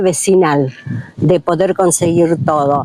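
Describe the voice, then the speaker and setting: This woman talks at a very slow pace. The sound is dry and close, with no echo. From Argentina, Lanús (Greater Buenos Aires). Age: 60s. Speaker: neighborhood resident. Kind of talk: interview testimony. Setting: outdoors in a plaza. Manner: hesitant, many fillers.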